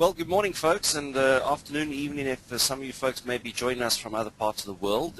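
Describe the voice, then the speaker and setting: A man's lively intonation at a fairly quick pace, over noticeable background noise. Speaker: IT security trainer. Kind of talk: webinar lecture. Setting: online webinar. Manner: informal, upbeat.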